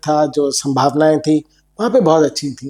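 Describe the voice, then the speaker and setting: This man has a dark, mellow tone and a fairly high pitch. His intonation stays fairly even. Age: 60s. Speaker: company founder. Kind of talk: interview.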